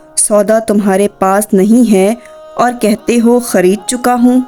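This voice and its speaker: A woman's monotone, flat delivery over music in the background. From Pakistan. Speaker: voice over artist. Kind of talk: religious story narration.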